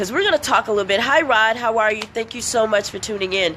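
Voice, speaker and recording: A woman talking at a very fast pace in an animated tone over noticeable background noise. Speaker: motivational speaker. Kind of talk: live-stream motivational talk. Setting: outdoors under a shed, live video.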